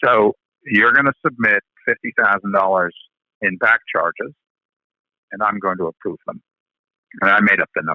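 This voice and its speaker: A man talks with a New York accent. His pace is moderate. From New York City. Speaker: lighting industry veteran. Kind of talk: interview answer.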